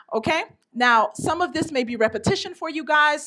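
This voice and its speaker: A raised, projected voice with a bright, sharp, animated tone moves at a fairly quick pace with lively intonation. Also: woman. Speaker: education workshop presenter. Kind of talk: professional development seminar. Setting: stage with audience. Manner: fast.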